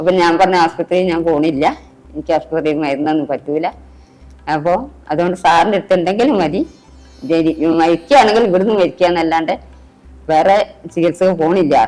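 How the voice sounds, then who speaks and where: With music in the background, a woman speaks at a fairly low pitch with ordinary pitch variation. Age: 60s. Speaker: heart patient. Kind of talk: patient testimonial interview answer.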